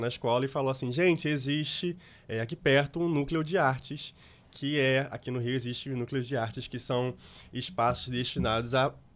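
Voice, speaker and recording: A moderate-paced male voice of medium pitch and ordinary pitch variation, very cleanly recorded against a silent background. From Brazil, Rio de Janeiro. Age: 20s. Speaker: actor and content creator. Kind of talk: interview. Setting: studio.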